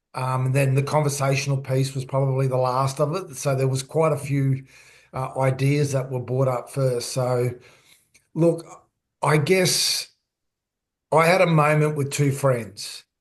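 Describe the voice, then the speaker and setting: Somewhat breathy and fairly high-pitched, a man speaks at a fairly slow pace with fairly even intonation and long, frequent pauses. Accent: Australian. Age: 60s. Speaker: author and former sports coach. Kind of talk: podcast interview.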